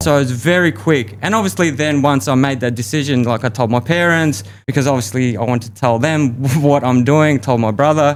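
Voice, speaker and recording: A man speaks at a fairly quick pace in a medium pitch, with ordinary pitch variation and very even loudness. The recording is very clean, with a silent background. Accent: Australian. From Australia. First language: Russian. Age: 30s. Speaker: podcast guest, expat. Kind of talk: interview conversation.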